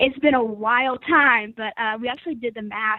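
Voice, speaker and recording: A woman is speaking. She has an American accent. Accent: Southern US, reduced by training. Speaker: agriscience student researcher. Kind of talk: interview. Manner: hesitant, many fillers.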